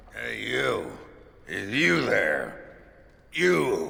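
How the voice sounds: A man puts on a character voice. It comes out growling.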